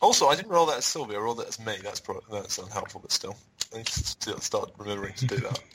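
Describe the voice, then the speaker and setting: Noticeable background noise runs through the clip. The speech moves at a very fast pace. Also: man. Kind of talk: tabletop roleplaying game session.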